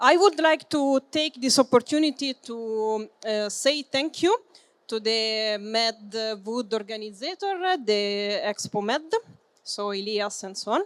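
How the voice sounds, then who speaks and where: With an Italian accent, a woman speaks at a very slow pace in a fairly high pitch with ordinary pitch variation, the sound dry and close with no echo. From Italy. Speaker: business development manager and building engineer. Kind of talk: conference presentation. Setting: trade fair seminar with audience. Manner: hesitant, many fillers.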